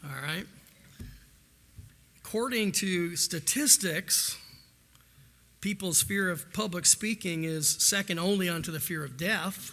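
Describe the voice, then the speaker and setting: Speaking at a fairly slow pace with long, frequent pauses, a man with an American accent has high pitch and a bright, sharp tone. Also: ordinary pitch variation. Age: 60s. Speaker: school administrator. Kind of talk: public address. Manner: conversational.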